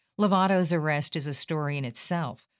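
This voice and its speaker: A woman with a very deep, low voice is heard on a very clean recording with a silent background. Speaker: news podcast host. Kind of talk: news bulletin reading. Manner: formal; measured, somber newsreader delivery.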